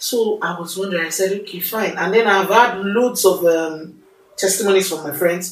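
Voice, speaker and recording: A woman with a Nigerian accent speaks at a moderate pace in a medium pitch with ordinary pitch variation. Her loudness swings widely, and there is noticeable background noise. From Nigeria, Lagos. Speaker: podcast host, master's student. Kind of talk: casual chat. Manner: animated.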